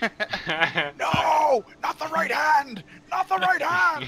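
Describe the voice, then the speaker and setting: A high-pitched, put-on character voice at a very slow pace. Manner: desperate, pleading, feigned terror.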